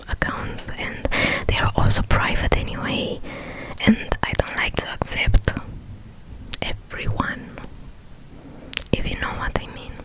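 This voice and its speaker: Whispering from a woman at a fairly slow pace, with long, frequent pauses, big swings in loudness and noticeable background noise. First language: non-native English speaker. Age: 20s. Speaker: ASMR creator. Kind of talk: ASMR Q&A talk to camera. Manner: whispered.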